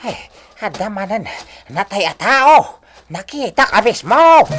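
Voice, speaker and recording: Using a put-on character voice, a female-sounding speaker talks at a fairly high pitch and a fairly slow pace. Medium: old radio play. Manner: exclamatory, fussy.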